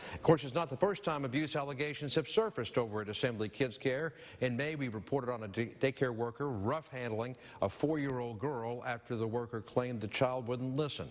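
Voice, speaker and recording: Here a man speaks in a plain, everyday voice at a fairly quick pace. His pitch is medium, with ordinary pitch variation. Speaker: news anchor. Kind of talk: TV news read.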